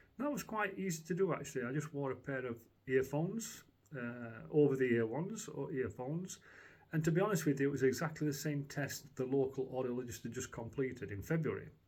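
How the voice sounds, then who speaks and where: A man talks at a fairly quick pace with a fairly high pitch. His voice is somewhat breathy. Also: lively intonation. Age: 60s. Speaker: customer giving a product review. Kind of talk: testimonial. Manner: halting, many fillers and restarts.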